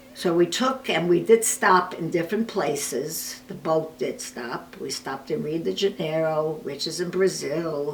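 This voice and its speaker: Speaking with an American accent, a woman with a fairly low pitch uses lively intonation at a fairly slow pace with hardly any pauses, over noticeable background noise. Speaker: oral history interviewee. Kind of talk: oral history interview.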